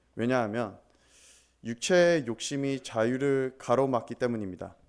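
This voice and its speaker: A man speaks at a very slow pace with a non-native accent and a medium pitch. The recording is very clean, with a silent background. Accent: non-native Korean. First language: English (speaking Korean). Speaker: pastor. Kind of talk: sermon. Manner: halting.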